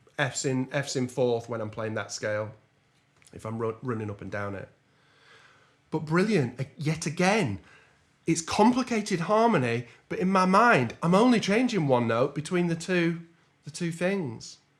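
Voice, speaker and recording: With an English accent, a man with a fairly high pitch speaks with very wide pitch swings and long, frequent pauses in a very clean recording with a silent background. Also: moderate pace. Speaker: jazz trombonist and music teacher. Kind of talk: tutorial.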